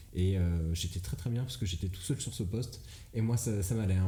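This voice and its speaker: Over noticeable background noise and audible room echo, a man talks at a fairly quick pace, his fairly low pitch showing ordinary variation. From Brittany, France. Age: 20s. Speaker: comedian. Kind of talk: casual chat. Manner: hesitant, many fillers.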